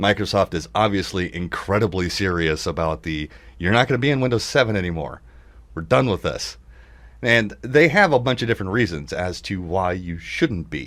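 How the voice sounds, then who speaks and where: On a very clean recording with a silent background, a man with a fairly low pitch talks at a moderate pace with lively intonation. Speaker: computer repair shop owner and tech radio host. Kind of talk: casual tech talk show.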